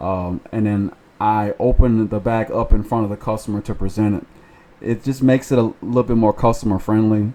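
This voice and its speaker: The voice has a dark, mellow tone and fairly even intonation. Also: man, fairly low pitch for a man. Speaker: food delivery driver. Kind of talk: casual talk to camera. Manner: stutters.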